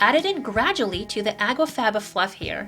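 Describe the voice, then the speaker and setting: With music playing in the background, a woman speaks in an upbeat tone. Her fairly high voice swings very widely in pitch. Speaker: vegan cooking channel host. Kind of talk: cooking tutorial narration.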